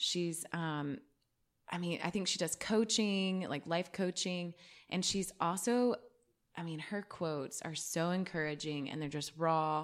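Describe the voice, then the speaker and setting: In a very clean recording with a silent background, a woman with a plain, everyday voice speaks at a fairly slow pace, fairly low in pitch with ordinary pitch variation. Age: 30s. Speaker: podcast host. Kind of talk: casual interview.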